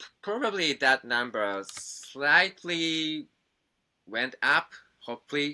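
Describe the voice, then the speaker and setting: A man with a Japanese accent talks at a very slow pace. His intonation is lively. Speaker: musician. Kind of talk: interview. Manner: halting.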